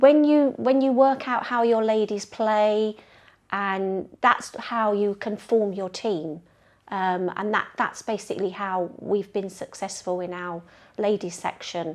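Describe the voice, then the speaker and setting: A woman with a London accent talks at a fairly slow pace. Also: medium pitch for a woman, ordinary pitch variation. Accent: London accent, noticeable in Yorkshire. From North London. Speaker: bowls club member, ladies team organiser. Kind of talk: interview.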